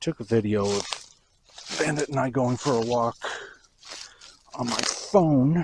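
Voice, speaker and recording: Soft-spoken, a man talks at a fairly slow pace. Long, frequent pauses run through his speech. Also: medium pitch for a man, ordinary pitch variation. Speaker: vlogger. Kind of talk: casual walking vlog. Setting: outdoors walking dog on beach.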